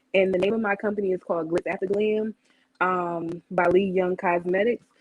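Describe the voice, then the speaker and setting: Fairly even intonation marks this woman's medium-pitched delivery in an American accent. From northern New Jersey. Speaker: cosmetics entrepreneur. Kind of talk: sales pitch. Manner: halting.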